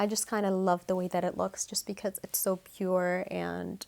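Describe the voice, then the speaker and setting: A woman with an American accent talks at a moderate pace on a very clean recording with a silent background. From New Mexico, USA. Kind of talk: soft-spoken ASMR crystal collection show-and-tell to camera. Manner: soft-spoken, calming, friendly.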